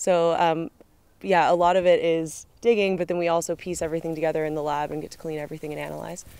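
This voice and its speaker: Very fast speech in a dark, mellow tone, dry with no echo, with fairly even intonation and big swings in loudness. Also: woman, fairly low pitch for a woman. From California, USA. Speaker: student archaeologist. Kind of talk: casual interview.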